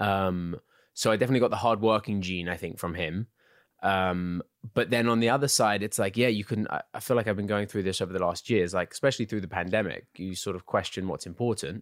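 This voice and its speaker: With an English accent, a man talks at a very fast pace in a fairly low voice, the sound dry and close with no echo over a very clean, silent background. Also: ordinary pitch variation. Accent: English, uses American accent for roles. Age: 20s. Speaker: actor. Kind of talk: casual chat.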